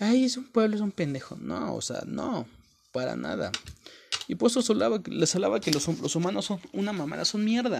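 The speaker talks at a moderate pace with a Mexican accent. The pitch swings very widely. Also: man, high pitch for a man. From Mexico, rural mountain village. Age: 20s. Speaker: motivational content creator. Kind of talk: motivational monologue. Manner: casual, profanity-laden.

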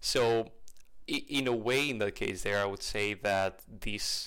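In a very clean recording with a silent background, a man speaks fairly slowly in a bright, sharp tone with monotone, flat intonation. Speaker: podcaster. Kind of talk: casual solo podcast monologue. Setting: home recording, video podcast. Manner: rambling, self-interrupting; informal and cheerful.

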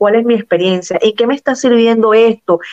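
Ordinary pitch variation in an ordinary speaking voice. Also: woman. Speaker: Venezuelan migrant guest. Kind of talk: interview.

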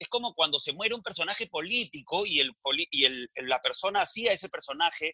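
Raised and projected, a man's bright, sharp voice comes at a very fast pace and high pitch, with a dry, close sound and no echo. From Peru, provinces. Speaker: comedian and businessman. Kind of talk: casual interview.

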